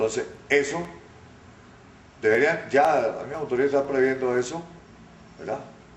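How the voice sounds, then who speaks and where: This man has a fairly high voice and speaks at a moderate pace. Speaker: radio announcer and journalist. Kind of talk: interview answer.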